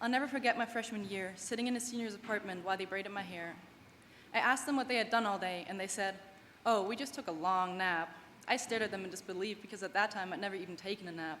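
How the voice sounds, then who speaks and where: A woman with a German accent talks at a very fast pace. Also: medium pitch for a woman, ordinary pitch variation. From Germany, small town. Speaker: graduating student athlete. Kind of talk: commencement speech. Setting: stage with audience.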